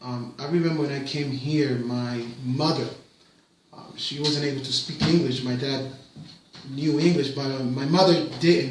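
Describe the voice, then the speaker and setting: A man with a Spanish accent and a fairly high pitch, ordinary pitch variation, a moderate pace, big swings in loudness, audible room echo and noticeable background noise. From Puerto Rico. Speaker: parent interviewed by his child. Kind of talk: casual interview. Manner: hesitant, with fillers and repetitions.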